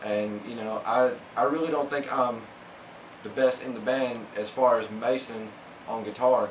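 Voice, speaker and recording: A man's speech with long, frequent pauses, audible room echo, and noticeable background noise. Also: medium pitch for a man, fairly even intonation, moderate pace. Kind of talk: interview. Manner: halting, many fillers.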